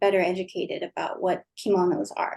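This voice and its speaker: An ordinary speaking voice from a woman with an American accent, medium in pitch, at a moderate pace. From Japan, then over thirty years in the US. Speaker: clothing designer. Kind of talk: interview.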